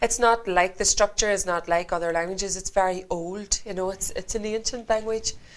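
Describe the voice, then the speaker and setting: Medium in pitch, a woman with a Northern Irish accent speaks at a fairly quick pace. She has hardly any pauses and fairly even intonation. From Northern Ireland, County Antrim. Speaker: singer. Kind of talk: interview.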